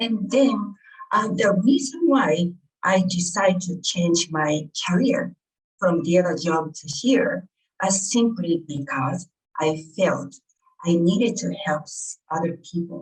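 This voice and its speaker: Speaking at a very slow pace, a woman with a Japanese accent uses a fairly low pitch, lively intonation and big swings in loudness. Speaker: author and healer. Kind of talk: interview. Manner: halting.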